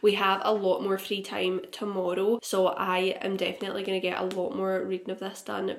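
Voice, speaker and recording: A woman with a Scottish accent speaks at a fairly quick pace in an upbeat tone and medium pitch, with hardly any pauses, over noticeable background noise. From Glasgow, Scotland. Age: 20s. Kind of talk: casual vlog talk to camera. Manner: upbeat, chatty.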